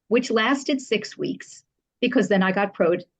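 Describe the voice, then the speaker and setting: Against a quiet background, a woman with an American accent sounds somewhat breathy, her intonation lively. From New Jersey. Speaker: public relations professional. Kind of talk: podcast interview. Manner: fast; animated.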